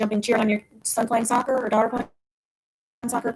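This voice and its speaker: The woman's voice comes out somewhat breathy. She talks very fast. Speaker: physical therapist. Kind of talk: webinar presentation.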